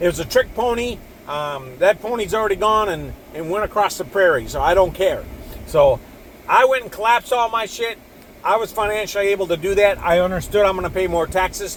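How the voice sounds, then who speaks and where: A man's high-pitched voice at a fairly quick pace amid noticeable background noise. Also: ordinary pitch variation. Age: 60s. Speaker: video blogger sharing personal finance views. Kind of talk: casual monologue. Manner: casual, rambling with repetitions and fillers.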